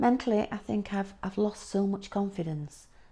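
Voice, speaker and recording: A woman with a Yorkshire accent, a dark, mellow tone, fairly even intonation and a moderate pace. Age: 60s. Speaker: patient sharing illness story. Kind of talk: testimony. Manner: halting.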